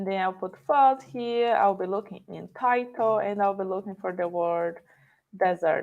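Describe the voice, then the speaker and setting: Speaking at a moderate pace, a woman has a non-native accent. Her pitch is medium, with ordinary pitch variation. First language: not English. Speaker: conference speaker. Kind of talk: live coding tutorial.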